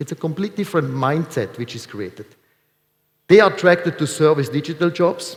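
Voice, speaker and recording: With vocal fry and ordinary pitch variation, the voice runs at a fairly quick pace and swings widely in loudness. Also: man, fairly high pitch for a man. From Switzerland. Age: 40s. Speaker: industry speaker. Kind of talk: conference presentation. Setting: stage with audience.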